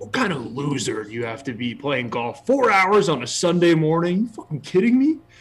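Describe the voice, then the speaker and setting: Putting on a gravelly, high-pitched character voice, a man rattles on at a fairly quick pace with very wide pitch swings and hardly any pauses. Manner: muttered, gritty chirping.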